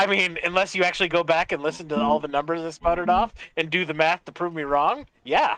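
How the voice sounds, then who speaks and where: A man's high-pitched voice at a very fast pace, fairly even intonation, dry and close sound with no echo. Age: 30s. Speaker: military veteran streamer. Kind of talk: casual chat.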